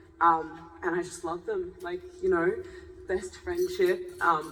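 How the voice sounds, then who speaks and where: A woman at a fairly slow pace, with music in the background and audible room echo. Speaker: actress. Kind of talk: panel discussion. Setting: stage with audience. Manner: loud.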